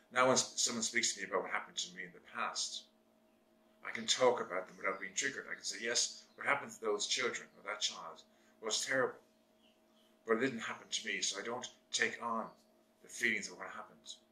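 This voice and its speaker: A man's bright, sharp voice at a medium pitch, very fast with long, frequent pauses, big swings in loudness and fairly even intonation. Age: 60s. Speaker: therapist and video blogger. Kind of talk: monologue to camera. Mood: earnest, serious, reflective. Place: home room.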